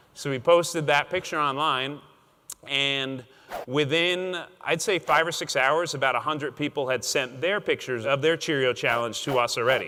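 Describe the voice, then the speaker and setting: Upbeat and bright, a man speaks in a sharp tone at a fairly high pitch. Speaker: entertainment professional, dad and founder of a parenting blog/company. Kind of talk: casual conference-style talk about his own story. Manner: conversational, fast, upbeat storytelling.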